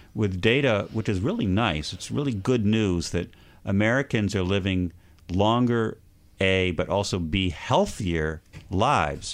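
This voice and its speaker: A man uses an ordinary speaking voice at a fairly low pitch with ordinary pitch variation. He keeps a moderate pace against a quiet background. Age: 50s. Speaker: economics editor and journalist. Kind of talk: casual chat. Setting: studio.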